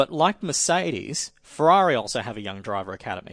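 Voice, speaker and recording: Over a quiet background, a man with an Australian accent talks at a moderate pace. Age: 30s. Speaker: motorsport journalist. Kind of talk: casual chat.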